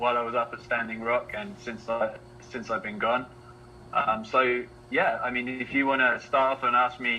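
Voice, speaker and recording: Noticeable background noise surrounds a man with an English accent. He speaks at a moderate pace in a medium pitch with monotone, flat intonation. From England, Letchworth, Hertfordshire. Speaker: activist, water protector. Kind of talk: interview, personal story. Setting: live online video chat.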